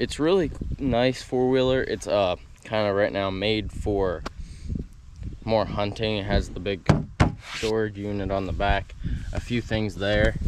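Noticeable background noise runs beneath a man talking at a fairly slow pace. He leaves long, frequent pauses. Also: ordinary pitch variation, dry sound with no echo. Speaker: vlogger. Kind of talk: casual vlog chat. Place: garden. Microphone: phone near.

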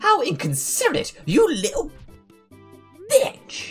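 Faint music plays in the background. A man puts on a character voice with extremely high pitch and talks at a fairly slow pace. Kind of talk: comic read-aloud of game dialogue. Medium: game stream. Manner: haughty, indignant.

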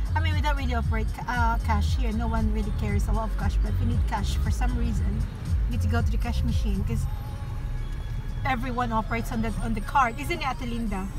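A woman is speaking while music plays clearly in the background. Her voice sounds dry, with no echo. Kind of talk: casual vlog chat. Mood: cheerful, joking. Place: car. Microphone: phone near.

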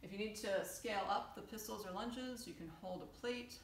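Moderately paced female speech, audible room echo, light background noise. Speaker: fitness coach. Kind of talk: tutorial. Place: home room. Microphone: camera far.

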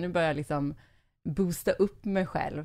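A woman's fairly low-pitched, an ordinary speaking voice, in a very clean recording with a silent background. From Småland, Sweden. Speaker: podcast host. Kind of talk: casual interview.

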